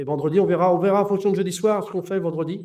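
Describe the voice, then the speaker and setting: At a fairly quick speed, the speaker talks in a dark, mellow tone. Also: man. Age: 60s. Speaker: football coach. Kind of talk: interview. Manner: halting, many hesitations.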